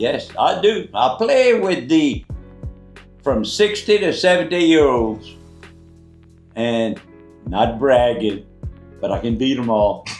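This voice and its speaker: With music in the background, a man at a medium pitch talks very slowly, swinging his pitch very widely and leaving long, frequent pauses. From Louisiana, USA. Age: 80s+. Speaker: Navy veteran. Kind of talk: casual conversation on camera.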